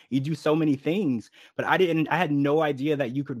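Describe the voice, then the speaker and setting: A man with a fairly high voice talks with ordinary pitch variation. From Louisiana. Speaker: podcast host. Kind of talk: casual interview.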